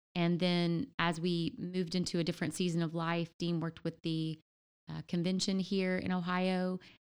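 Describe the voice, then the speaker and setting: A woman speaks at a moderate pace with a fairly low pitch and monotone, flat intonation. The recording is very clean, with a silent background. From Louisiana. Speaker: church planter's wife. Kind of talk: casual interview.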